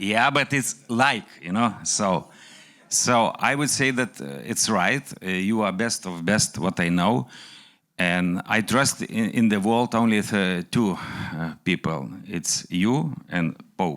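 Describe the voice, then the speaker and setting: A man's fairly low voice, very slow, with lively intonation. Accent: Lithuanian. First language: Lithuanian. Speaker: entrepreneur. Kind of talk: speech. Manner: halting.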